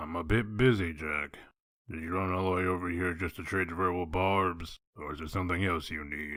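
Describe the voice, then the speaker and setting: A man does a raspy put-on character voice at a very deep, low pitch and a moderate pace. The recording is very clean, with a silent background. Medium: dub.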